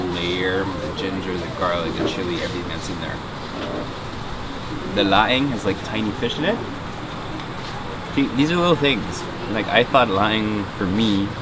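Against loud background noise, a man talks at a moderate pace, leaving long, frequent pauses. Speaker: travel food host. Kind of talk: casual vlog chat. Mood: relaxed, enthusiastic about food.

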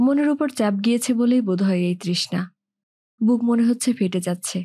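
A woman speaks with a somewhat breathy, fairly high voice. The recording is very clean and the background silent. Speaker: audiobook narrator. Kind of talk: novel reading.

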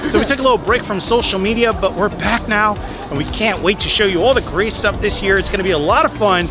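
A man's raised, projected voice at a very fast pace, with ordinary pitch variation, a dry sound with no echo and clear music in the background. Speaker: food vlogger. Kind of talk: casual vlog chat. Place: street. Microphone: phone near.

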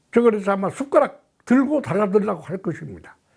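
A man's voice is heard. The background is silent, and the recording is very clean. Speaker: political commentator, honorary chairman of an association. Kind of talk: spoken column, monologue to camera. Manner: filler-heavy, repetitive phrasing.

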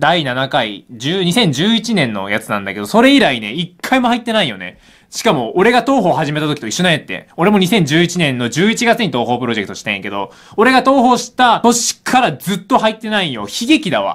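Against a quiet background, a man with a high voice speaks at a moderate pace in an animated tone, his pitch swinging very widely. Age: 20s. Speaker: gaming YouTuber. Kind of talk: live reaction commentary. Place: home room. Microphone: phone near.

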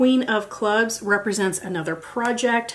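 In an American accent, a woman talks at a very slow pace. Her pitch variation is ordinary. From United States. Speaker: beauty YouTuber. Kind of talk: tutorial. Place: home room.

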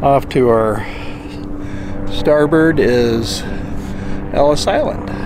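The recording is dry with no echo, but loud noise fills the background. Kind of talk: casual vlog narration. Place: boat. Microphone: phone near.

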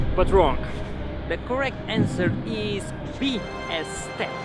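There is music in the background. A man speaks, and the sound is dry with no echo. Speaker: travel vlogger, guide. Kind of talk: casual vlog chat. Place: street. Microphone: phone near.

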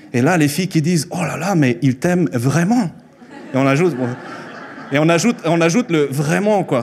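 Speaking with a Spanish accent, a man with a fairly high pitch leaves long, frequent pauses over light background noise. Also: lively intonation, moderate pace. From Mexico, Chihuahua. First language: Spanish (speaking French). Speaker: preacher. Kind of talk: sermon. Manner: halting. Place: church. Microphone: handheld.

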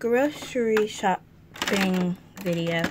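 Noticeable background noise behind a woman's voice, its pitch varying in an ordinary way. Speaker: doll play storyteller. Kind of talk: doll roleplay narration. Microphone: phone near.

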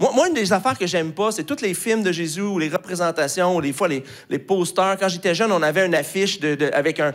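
With a Quebec accent, a man talks at a fairly quick pace and a high pitch, ordinary pitch variation and a quiet background. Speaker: pastor. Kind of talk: sermon. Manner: hesitant with many fillers. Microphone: handheld.

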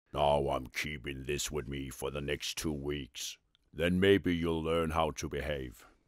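A man puts on a character voice that is raspy and very deep. He speaks at a fairly slow pace with fairly even intonation. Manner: stern, scolding.

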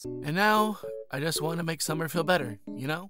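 A raspy, put-on character voice at a middle pitch goes along at a moderate pace with faint music in the background. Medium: cartoon. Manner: exasperated, fussy.

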